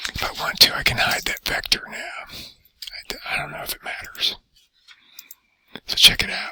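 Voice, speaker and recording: Whispering, a man leaves long, frequent pauses, and his loudness swings widely. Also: moderate pace. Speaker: teacher. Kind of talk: tutorial. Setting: library. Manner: soft-spoken.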